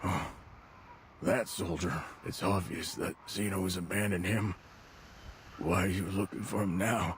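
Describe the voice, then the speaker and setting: A man uses a put-on character voice that is raspy and very deep, at a moderate pace. He takes long, frequent pauses over clear background noise. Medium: video game. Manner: gruff, drawling.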